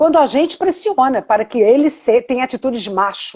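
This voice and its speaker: A woman talks at a moderate pace in a high pitch, her tone dark and mellow and her intonation lively. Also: dry, close sound with no echo. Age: 60s. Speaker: therapist and teacher. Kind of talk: casual chat. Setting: video call.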